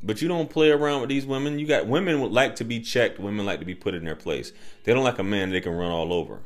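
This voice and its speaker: Words pour out of a man very fast. His intonation moves in a lively way. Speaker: dating advice youtuber. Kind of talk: casual commentary monologue. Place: home room. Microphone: studio mic.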